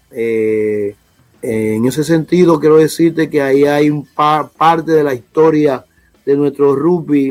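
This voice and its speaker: A man with a plain, everyday voice talks at a fairly slow pace, his pitch fairly high. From Dominican Republic, south, raised in Santo Domingo. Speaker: rugby federation official. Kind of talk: interview.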